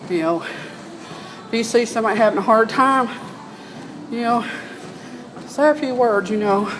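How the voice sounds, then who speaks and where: With an American accent, a woman with a fairly high pitch speaks at a moderate pace with ordinary pitch variation and long, frequent pauses, amid noticeable background noise and audible room echo. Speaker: vlogger. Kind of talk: casual monologue.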